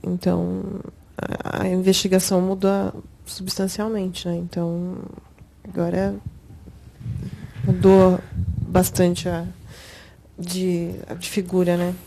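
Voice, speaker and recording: A woman speaks quietly, with long, frequent pauses. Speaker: physician, discussion participant. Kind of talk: clinical case discussion. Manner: speaking very quietly.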